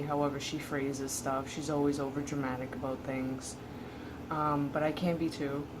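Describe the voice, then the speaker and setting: A woman speaks at a moderate pace in a very deep, low voice. Her intonation is monotone and flat, with noticeable background noise. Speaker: transgender man vlogger, before hormone therapy. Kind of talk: casual talk to camera. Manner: hesitant, many filler words.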